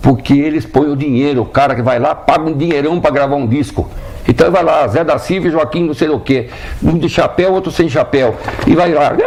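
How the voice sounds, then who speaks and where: Fairly high male voice at a moderate pace, over noticeable background noise. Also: ordinary pitch variation. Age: 70s. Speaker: band conductor. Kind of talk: TV interview. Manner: animated.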